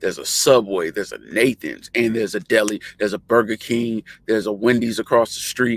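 A man's voice at a moderate pace, dry with no echo. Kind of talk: casual tutorial chat. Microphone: webcam.

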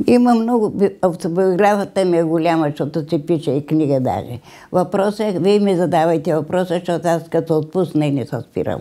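A woman speaks at a moderate pace in a fairly low, dark and mellow voice, with ordinary pitch variation against a quiet background. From Bulgaria, Strandzha region; Bulgaria. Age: 80s+. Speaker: centenarian interviewee; interviewee. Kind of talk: interview. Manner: halting. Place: home room.

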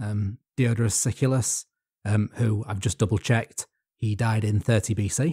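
On a very clean recording with a silent background and a dry, close sound with no echo, a man with a dark, mellow, somewhat breathy tone speaks at a moderate pace and a fairly low pitch with fairly even intonation. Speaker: podcast co-host. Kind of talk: casual chat.

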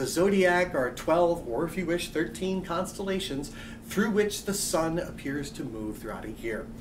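A man's high voice at a moderate pace with lively intonation, over noticeable background noise. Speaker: astronomy lecturer. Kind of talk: college lecture narration. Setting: quiet room. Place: office.

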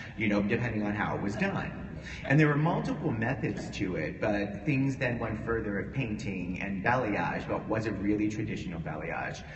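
Over noticeable background noise, a man with an American accent talks at a moderate pace with hardly any pauses, his fairly low voice carrying lively intonation. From US, Pittsburgh, Pennsylvania. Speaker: hair colorist; panelist. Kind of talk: panel talk to a live audience. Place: hall.

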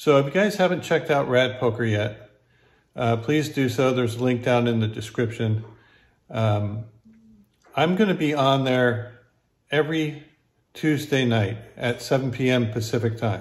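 A man speaks somewhat breathily at a fairly slow pace, with ordinary pitch variation. Long pauses come often. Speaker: poker vlogger. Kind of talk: casual vlog chat, sponsor mention. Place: home room. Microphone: phone near.

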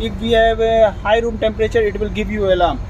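Against clear background noise, a man talks at a fairly quick pace in a high pitch.

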